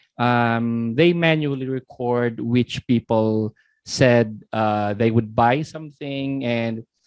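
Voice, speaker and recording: A man talks at a very slow pace with medium pitch. His intonation stays fairly even. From Philippines. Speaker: software demo presenter. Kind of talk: webinar product demo. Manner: halting, many repeated words.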